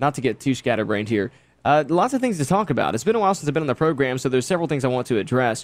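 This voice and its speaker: A man is speaking. His intonation is lively. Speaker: radio host. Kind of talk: political monologue. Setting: studio. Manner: hesitant, many ums; off the cuff.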